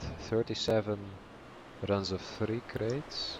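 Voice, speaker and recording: Against noticeable background noise, a man speaks very slowly in a flat monotone with a Dutch accent. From Netherlands. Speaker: gaming streamer. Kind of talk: live stream chat while gaming. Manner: hesitant, many fillers.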